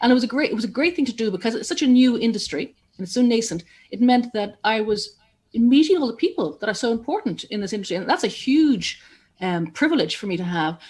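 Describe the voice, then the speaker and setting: In an Irish accent, a woman speaks very fast at a fairly high pitch, her voice swinging very widely up and down. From Ireland. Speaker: journalist and broadcaster. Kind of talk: interview.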